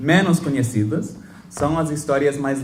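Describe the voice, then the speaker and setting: With a non-native accent, a man speaks at a fairly slow pace in a medium pitch, somewhat breathy. Audible room echo is present. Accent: foreign accent in Portuguese. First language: English (speaking Portuguese). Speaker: professor. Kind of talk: lecture. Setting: lecture hall with audience. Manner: halting, with self-corrections and fillers.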